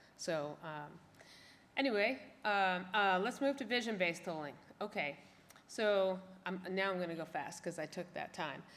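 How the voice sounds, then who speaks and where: A woman at a medium pitch with ordinary pitch variation and long, frequent pauses. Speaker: conference speaker on tolling technology. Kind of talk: conference presentation. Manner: fast.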